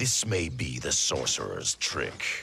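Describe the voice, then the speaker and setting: Put-on character voice from a man, delivered fairly slowly. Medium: video game. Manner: stern, suspicious.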